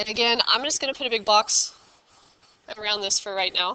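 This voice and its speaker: With a bright, sharp tone, a woman speaks at a fairly high pitch and with fairly even intonation. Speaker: math teacher. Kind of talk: tutorial.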